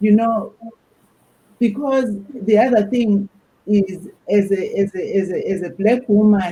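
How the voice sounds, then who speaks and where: With an African accent, a woman speaks very slowly at a medium pitch, her dark, mellow tone somewhat breathy and her pitch variation ordinary. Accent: African accent, noticeable. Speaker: academic panelist. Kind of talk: panel discussion.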